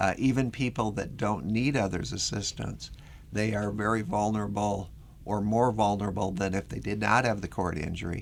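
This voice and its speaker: Fairly low-pitched with vocal fry, a man talks at a moderate pace with fairly even intonation. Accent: American. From Minnesota. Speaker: research professor with spinal cord injury. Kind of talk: interview.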